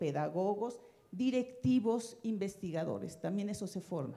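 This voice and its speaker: A woman speaks at a moderate pace with lively intonation and some vocal fry. Her tone is dark and mellow. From Mexico. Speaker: education researcher; speaker. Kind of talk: conference talk. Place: hall. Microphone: handheld.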